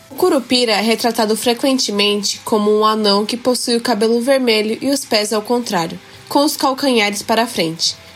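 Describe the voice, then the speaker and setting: Over noticeable background noise, a woman with a fairly high pitch speaks at a moderate pace with very even loudness, ordinary pitch variation and hardly any pauses. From Japan. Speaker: student podcaster. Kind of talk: scripted narration. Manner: formal.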